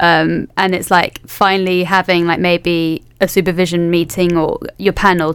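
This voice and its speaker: A woman with a London accent and a fairly low pitch. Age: 20s. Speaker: history PhD student. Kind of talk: casual chat.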